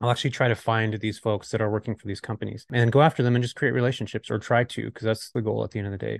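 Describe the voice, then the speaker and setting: A man with an American accent speaks very fast, with hardly any pauses, in a medium pitch with vocal fry and a monotone, flat delivery. The sound is dry and close with no echo, over a quiet background. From Southern California. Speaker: real estate investor and YouTuber. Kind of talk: casual interview chat.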